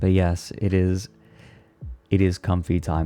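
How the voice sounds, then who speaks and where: Soft-spoken, a man talks in a very deep, low pitch with a dark, mellow tone. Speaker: streamer. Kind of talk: casual chat.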